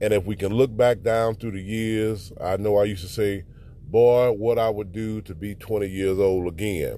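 Dark, mellow tone at a moderate pace, fairly even intonation, and audible room echo. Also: man, fairly low pitch for a man. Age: 40s. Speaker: podcast preacher. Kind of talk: sermon. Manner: halting.

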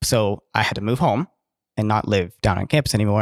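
Recorded very cleanly against a silent background, a man talks in a normal speaking voice at a moderate pace. The sound is dry and close with no echo, and his fairly low pitch stays fairly even. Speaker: podcast co-host. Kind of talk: casual chat.

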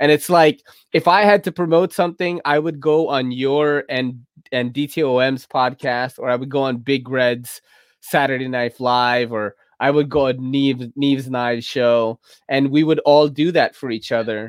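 The man's pitch is medium, with ordinary variation. He speaks at a fairly slow pace. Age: 40s. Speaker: podcast host. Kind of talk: casual chat. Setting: video call. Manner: animated.

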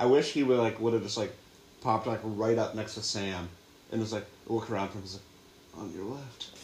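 A man with an American accent talks at medium pitch, his loudness swinging widely. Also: fairly even intonation, fairly quick pace. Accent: picks up bits of other dialects, says y'all. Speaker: podcast co-host. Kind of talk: casual chat.

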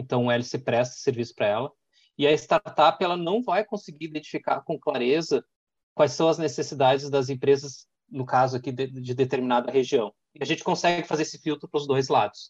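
A man with an ordinary speaking voice talks at a fairly quick pace with a fairly high pitch and ordinary pitch variation, in a dry, close sound with no echo. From Porto Alegre, southern Brazil. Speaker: executive director of an innovation hub. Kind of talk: interview, casual business talk.

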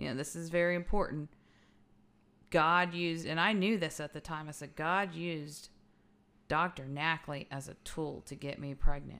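In a Texan accent, a woman speaks at a moderate pace with a very deep, low pitch, a bright, sharp tone, fairly even intonation, big swings in loudness and long, frequent pauses, on a very clean recording with a silent background. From Texas (Fort Worth/Arlington), Mexican-American. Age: 30s. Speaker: podcast host. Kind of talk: personal testimony.

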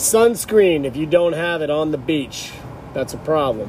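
Against noticeable background noise and audible room echo, the speaker keeps a moderate pace with ordinary pitch variation. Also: man. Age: 40s. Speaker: podcast host. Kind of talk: casual chat.

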